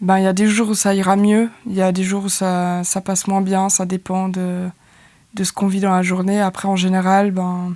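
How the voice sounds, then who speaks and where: A woman speaks in a dark, mellow tone at a moderate pace. Her intonation is monotone and flat. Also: medium pitch for a woman. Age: 20s. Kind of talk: interview answer. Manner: hesitant, casual.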